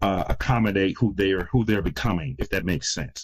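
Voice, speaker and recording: Over a very clean recording with a silent background, a man with an American accent talks at a very fast pace in a very deep, low pitch with ordinary pitch variation. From US Midwest, Detroit, Michigan. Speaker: crisis intervention consultant. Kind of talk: podcast interview.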